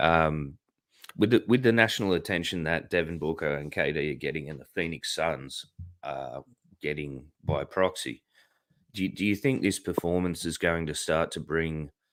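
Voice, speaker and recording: This man speaks at a moderate pace with a very deep, low pitch, vocal fry and ordinary pitch variation, on a very clean recording with a silent background. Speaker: podcast host. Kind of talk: casual chat.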